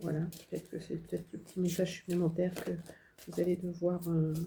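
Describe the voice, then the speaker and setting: Somewhat breathy, the voice carries a dark, mellow tone. It speaks with monotone, flat intonation. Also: woman. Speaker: tarot card reader and spiritual medium. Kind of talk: channeled tarot guidance reading. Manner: hesitant, many fillers.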